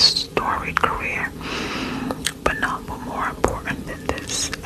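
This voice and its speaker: A woman whispering at a very slow pace over noticeable background noise. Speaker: ASMR creator. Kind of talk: sleep story reading. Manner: whispered.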